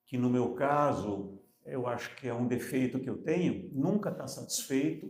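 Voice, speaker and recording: At a fairly slow pace, a man talks with a medium pitch and ordinary pitch variation. There is audible room echo. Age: 70s. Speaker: entrepreneur. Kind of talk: panel discussion.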